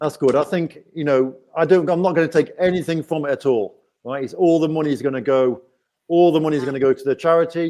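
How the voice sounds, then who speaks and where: Speaking at a fairly quick pace with an English accent, the man has a fairly high pitch, a dark, mellow tone and fairly even intonation. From England. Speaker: YouTuber. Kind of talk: live stream chat. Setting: live stream.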